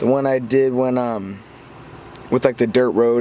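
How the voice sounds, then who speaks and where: A man's voice with noticeable background noise. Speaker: RC car hobbyist vlogger. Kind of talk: casual update video. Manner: halting, stumbles over words.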